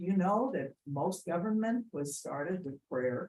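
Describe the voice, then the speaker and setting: Lively in intonation, a woman talks at medium pitch in a somewhat breathy voice with a dark, mellow tone. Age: 70s. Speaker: pastor. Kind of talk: public comment. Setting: public meeting.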